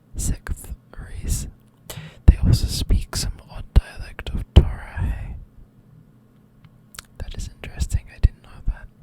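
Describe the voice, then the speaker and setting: A whispering voice in a relaxed tone moves at a very slow pace with long, frequent pauses, over noticeable background noise. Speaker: ASMR creator. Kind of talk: ASMR whispered fact reading. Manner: whispered, soft, relaxed.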